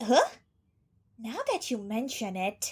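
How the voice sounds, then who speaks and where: A female-sounding, put-on character voice sits at a fairly high pitch. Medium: fan dub. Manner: cheerful, casual.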